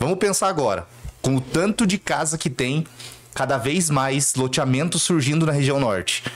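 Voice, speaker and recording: A man speaks at a moderate pace with lively intonation and very even loudness over noticeable background noise. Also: fairly high pitch for a man. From southern Brazil, Cascavel, Paraná. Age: 30s. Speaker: city councillor. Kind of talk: interview.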